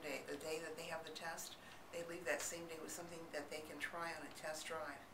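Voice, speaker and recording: A woman with an American accent speaks in a calm tone at a fairly quick pace and a fairly low pitch. Noticeable background noise can be heard. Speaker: audiologist. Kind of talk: explanatory talk to camera. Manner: calm, reassuring, conversational.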